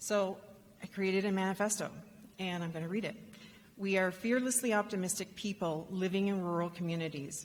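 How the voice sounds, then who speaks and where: Audible room echo surrounds a woman speaking fairly quickly at a medium pitch with fairly even intonation. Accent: Canadian. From Canada. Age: 50s. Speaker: rural entrepreneurship advocate. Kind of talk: conference keynote talk. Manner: halting, with many fillers.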